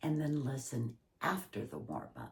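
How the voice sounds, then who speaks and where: A woman speaks at a fairly slow pace. Her voice has vocal fry. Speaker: acting instructor and professional actor. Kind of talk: tutorial.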